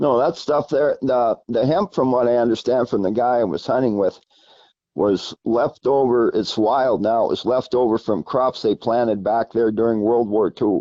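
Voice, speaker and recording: An unremarkable speaking voice from a man with an American accent, medium in pitch, at a moderate pace with very even loudness and ordinary pitch variation. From Pennsylvania, Allegheny Mountains. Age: 60s. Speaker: caller, grouse hunter. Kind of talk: casual chat.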